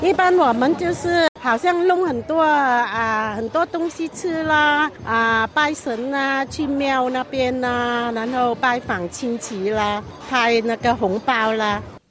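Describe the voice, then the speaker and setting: Against noticeable background noise, a woman with a high pitch speaks at a very slow pace with hardly any pauses. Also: lively intonation. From Vietnam, ethnic Chinese. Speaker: interviewee, refugee immigrant. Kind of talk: vox pop interview.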